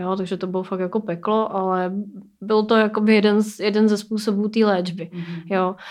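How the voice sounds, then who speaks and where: The delivery is fairly quick and monotone, with flat intonation, on a very clean recording with a silent background. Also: woman, medium pitch for a woman. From Czechia, Plzeň. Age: 30s. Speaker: burn survivor and project co-founder. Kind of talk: interview.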